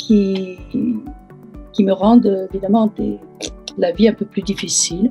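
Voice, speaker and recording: Speech comes at a very slow pace with long, frequent pauses. The intonation stays monotone and flat over music in the background. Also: woman, medium pitch for a woman. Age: 80s+. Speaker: breast cancer patient. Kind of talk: interview answer. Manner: hesitant.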